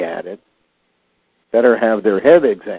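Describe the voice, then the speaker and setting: With lively intonation, a man at a medium pitch talks in an ordinary speaking voice. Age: 60s. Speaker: conspiracy theorist talk host. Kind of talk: casual chat.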